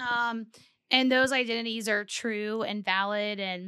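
A woman with an American accent, an ordinary speaking voice, fairly high pitch and fairly even intonation, very clean recording, silent background. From South Texas. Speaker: sex therapist and podcast co-host. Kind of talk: casual chat.

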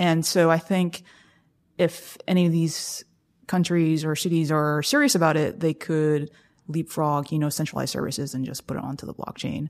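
Her pitch is very deep and low, and she speaks with an American accent. The woman's intonation is fairly even, in a very clean recording with a silent background. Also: moderate pace. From US South, South Carolina. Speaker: startup investor and former founder. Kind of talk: casual interview.

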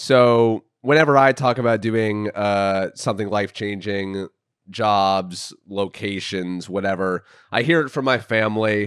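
In a very clean recording with a silent background, a man with an ordinary speaking voice talks at a fairly slow pace and fairly low pitch, with ordinary pitch variation. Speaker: podcast host, author. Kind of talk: casual chat. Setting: in a condo, recorded on the road.

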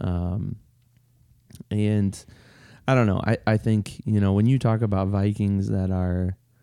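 A man speaks at a fairly slow pace in a fairly low pitch, with a dark, mellow tone and monotone, flat intonation, on a very clean recording with a silent background. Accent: Upper Midwestern. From Minnesota and Iowa. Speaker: podcast co-host. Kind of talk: casual chat. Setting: home basement.

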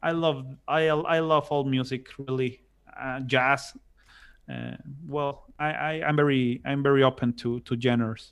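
A man with a Spanish accent talks at a fairly slow pace. His pitch is medium and his intonation fairly even. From Mexico, Monterrey. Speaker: musician and civil engineer. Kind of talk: casual interview. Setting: video call. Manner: halting, many repetitions; loud and chatty.

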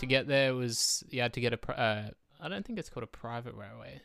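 A man's bright, sharp tone at medium pitch and a fairly quick pace, on a very clean recording with a silent background. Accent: Australian. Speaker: guest, travel companion. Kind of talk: casual chat.

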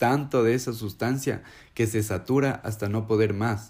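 At medium pitch, a man uses a plain, everyday voice with fairly even intonation. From Ecuador. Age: 20s. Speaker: recovering addict. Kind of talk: personal testimony.

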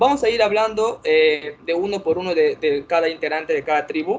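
Moderately paced, the man's speech shows ordinary pitch variation. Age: 20s. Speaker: podcast host of online survivor game. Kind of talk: casual chat.

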